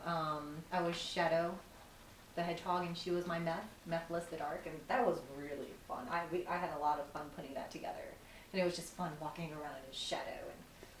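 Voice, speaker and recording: Against noticeable background noise, a woman speaks at a fairly low pitch with fairly even intonation. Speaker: cosplayer. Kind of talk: interview answer. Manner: casual, rambling.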